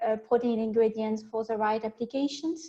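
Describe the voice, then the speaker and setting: A woman with a French accent speaks with fairly even intonation. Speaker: protein scientist. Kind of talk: webinar presentation.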